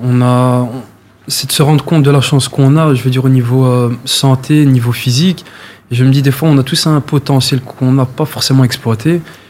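A man talks fairly quickly at a medium pitch in a flat monotone. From Brussels, Molenbeek. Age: 20s. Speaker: amateur athlete, charity runner. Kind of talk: interview. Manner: hesitant, filler words.

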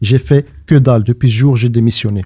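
A man's dark, mellow, somewhat breathy voice in a dry, close sound with no echo. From Brussels, Belgium. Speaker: playwright and stage actor. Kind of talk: casual chat.

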